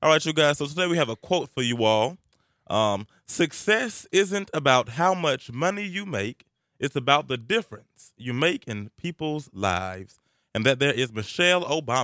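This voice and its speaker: Bright and sharp in tone, a man with a Southern US accent speaks at fairly high pitch with very wide pitch swings, in a dry, close sound with no echo on a very clean recording with a silent background. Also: moderate pace. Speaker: college radio host. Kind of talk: casual chat. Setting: studio.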